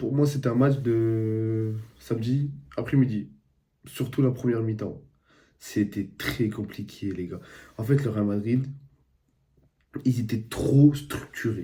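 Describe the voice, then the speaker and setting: Somewhat breathy and dark, mellow in tone, a man of medium pitch speaks at a very slow pace with ordinary pitch variation and long, frequent pauses. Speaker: football YouTuber, streamer. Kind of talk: casual football match debrief. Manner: casual, conversational.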